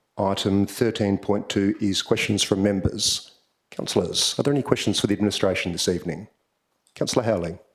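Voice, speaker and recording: A man with a fairly low pitch speaks in an Australian accent at a fairly quick pace. His intonation is fairly even and his loudness very even. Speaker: mayor chairing council meeting. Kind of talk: formal meeting chairing. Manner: formal.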